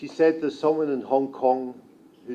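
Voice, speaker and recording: A man in a strong Scottish accent, medium in pitch with a dark, mellow tone and fairly even intonation, amid audible room echo. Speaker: journalist. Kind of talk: conference talk. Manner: slow.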